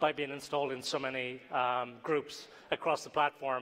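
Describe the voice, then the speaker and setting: A man speaks at a fairly quick pace in an Irish accent. His tone is bright and sharp. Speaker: tech company CEO, conference speaker. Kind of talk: conference talk.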